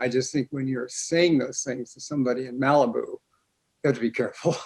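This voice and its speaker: With fairly even intonation, a man speaks at a very fast pace. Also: medium pitch for a man. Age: 80s+. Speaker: somatics scholar and keynote speaker. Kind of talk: casual conversation. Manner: halting.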